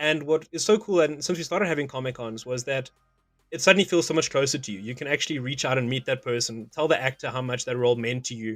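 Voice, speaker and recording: A man's medium-pitched voice with a South African accent, very fast, with ordinary pitch variation over music in the background. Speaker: interviewer, pop culture show host. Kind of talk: interview.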